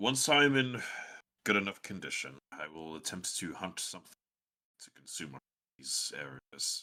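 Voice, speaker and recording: A man uses a put-on character voice with a fairly low pitch at a moderate pace. His loudness swings widely, and he takes long, frequent pauses. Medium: actual play. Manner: formal, grave.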